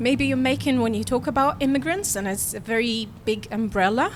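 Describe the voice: The speaker is a woman with a fairly high pitch. Her tone is fairly bright.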